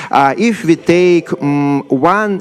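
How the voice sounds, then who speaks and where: A man with a fairly high voice speaks in a strong Siberian accent, his pitch swinging very widely. Noticeable background noise sits behind him. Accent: severe Siberian. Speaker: software developer. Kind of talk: conference talk. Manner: halting, many fillers.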